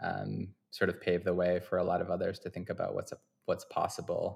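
A man with an American accent at a fairly quick pace, on a very clean recording with a silent background. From Vermont, US. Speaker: photographer and gallery founder. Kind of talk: interview.

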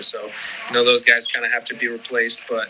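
Speaking with an American accent, a man can be heard over noticeable background noise. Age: 30s. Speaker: professional baseball pitcher. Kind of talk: interview. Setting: video call.

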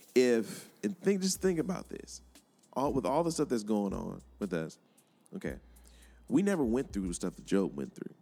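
With music in the background, the speech moves at a moderate pace with long, frequent pauses and very wide pitch swings. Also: man, medium pitch for a man. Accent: American. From Miami, Florida. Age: 30s. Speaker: podcast host. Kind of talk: casual chat. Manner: halting.

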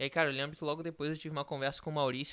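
Bright and sharp in tone, a man with a fairly high pitch is heard on a very clean recording with a silent background. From Rio de Janeiro, Brazil. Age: young. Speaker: startup co-founder. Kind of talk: casual chat.

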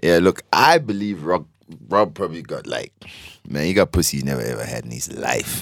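With a very deep, low pitch and vocal fry, this man talks at a fairly quick pace using lively intonation. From South Africa, Mpumalanga. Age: 20s. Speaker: podcast guest. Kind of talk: casual chat.

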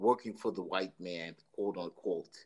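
Speaking fairly slowly, this man has an American accent. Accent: Italian New York. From New York City. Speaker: podcast host. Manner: confrontational, provocative.

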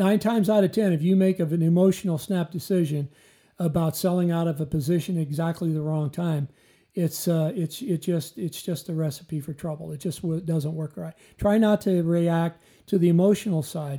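In a Midwestern US accent, the speaker talks at a moderate pace with fairly even intonation and a dark, mellow tone. The recording is very clean, with a silent background. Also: man, high pitch for a man. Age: 60s. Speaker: retired financial advisor, co-host.

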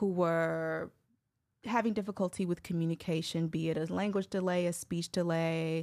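Over a very clean recording with a silent background, a woman speaks at a fairly slow pace. She has a plain, everyday voice, a fairly low pitch and ordinary pitch variation. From Chicago, US Midwest. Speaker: speech pathologist and communication coach. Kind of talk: casual interview.

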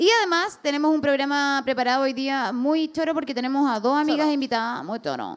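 A woman with a Chilean accent talks at a very fast pace with hardly any pauses. Her voice is high-pitched, with ordinary pitch variation. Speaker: comedian and podcast host. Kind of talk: live podcast with audience. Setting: stage with audience.

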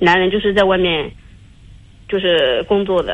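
Speaking at a moderate pace, a woman uses a medium pitch. Her intonation stays fairly even. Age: 30s. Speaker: caller. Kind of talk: call-in confiding problems. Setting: phone call. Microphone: headset with loud breathing, then too quiet.

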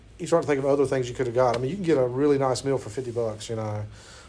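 A man with an ordinary speaking voice, medium pitch and fairly even intonation. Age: 40s. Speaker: college instructor. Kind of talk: lecture.

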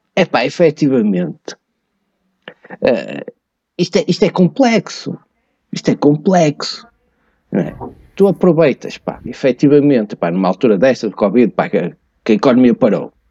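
Speaking at a moderate pace with long, frequent pauses, a man with a fairly high, dark, mellow voice and vocal fry swings his pitch very widely, the sound dry and close with no echo. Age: 50s. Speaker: tax and finance expert. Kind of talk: podcast interview. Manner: hesitant, with many fillers.

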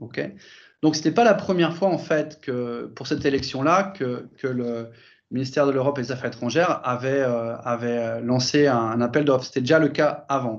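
Moving at a moderate pace, a man speaks at medium pitch with ordinary pitch variation. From France. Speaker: sales director at an online voting company. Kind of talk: interview. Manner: halting, many repetitions and fillers.

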